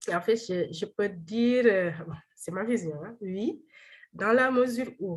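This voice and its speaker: Somewhat breathy and very slow, a woman speaks at a medium pitch with lively intonation. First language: Wolof (speaking French). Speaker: doctoral researcher. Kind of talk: seminar presentation and Q&A. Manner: halting, many repetitions and fillers.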